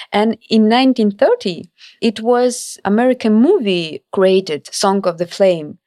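Speaking fairly slowly, a woman with a Ukrainian accent uses ordinary pitch variation. The sound is dry and close, with no echo. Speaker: cultural diplomacy scholar and author. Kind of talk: interview. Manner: halting.

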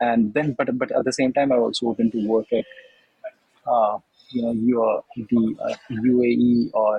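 With an Indian accent, a man speaks at a medium pitch with fairly even intonation. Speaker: MBA student, former consultant. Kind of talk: interview. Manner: halting.

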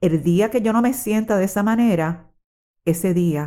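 Speaking at a fairly slow pace, a woman with a dark, mellow tone makes very wide pitch swings. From Puerto Rico. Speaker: retired social worker. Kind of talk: personal testimony.

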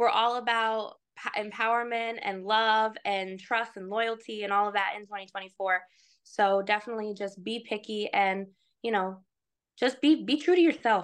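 A plain, everyday voice, with ordinary rises and falls in pitch, goes at a moderate speed against a quiet background. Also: woman, fairly high pitch for a woman. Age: 20s. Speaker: hairstylist. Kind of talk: casual chat.

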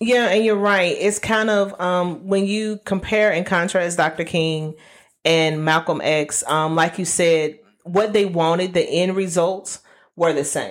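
A woman speaks slowly at a fairly low pitch, with fairly even intonation and very even loudness. The recording is very clean, with a silent background. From US South, Alabama. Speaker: podcast host. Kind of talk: casual chat. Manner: hesitant, many fillers.

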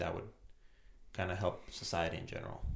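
A man with a somewhat breathy voice talks at a moderate pace. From Romania. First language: Romanian. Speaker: immigrant business guest. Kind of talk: casual interview.

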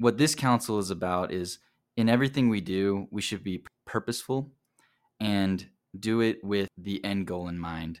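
A man with an American accent and a fairly low pitch has a plain, everyday voice with ordinary pitch variation, recorded very cleanly against a silent background. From South Carolina. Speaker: university student. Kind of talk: casual religious discussion. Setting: apartment.

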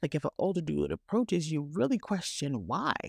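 A woman speaks in a very deep, low voice with vocal fry and an animated tone. The recording is dry and close with no echo, over a quiet background. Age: 40s. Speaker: podcast host. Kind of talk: casual commentary monologue.

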